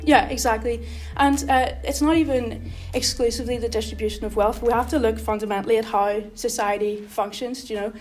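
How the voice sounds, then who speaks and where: A woman talking with hardly any pauses, amid noticeable background noise and audible room echo. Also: fairly quick pace. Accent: Belfast. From Northern Ireland, Belfast. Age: 20s. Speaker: election candidate. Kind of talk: interview.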